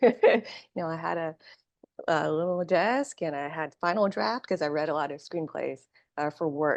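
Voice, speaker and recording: With an American accent, a woman with an ordinary speaking voice talks at a fairly low pitch and a moderate pace, her intonation lively. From Vietnam-born, raised in the US from early childhood. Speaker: screenwriter. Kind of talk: interview.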